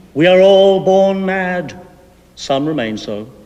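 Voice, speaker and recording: A man's put-on character voice at a high pitch, with lively intonation and a fairly slow pace. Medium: stage play. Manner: terse, plaintive.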